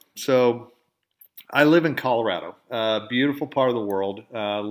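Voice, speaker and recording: Captured in a very clean recording with a silent background, a man speaks with fairly even intonation and a slight Southern accent. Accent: slight southern drawl. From Oklahoma, US South. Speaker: podcast host, dental industry editor. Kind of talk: casual storytelling monologue. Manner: conversational, with filler words.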